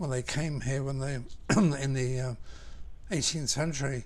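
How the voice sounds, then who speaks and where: A man with a Southern English accent speaks at a moderate pace, fairly high in pitch with ordinary variation and somewhat breathy. Room echo is audible. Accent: Southern English, little changed. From southern England. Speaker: architect. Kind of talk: interview. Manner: hesitant, with ums and restarts.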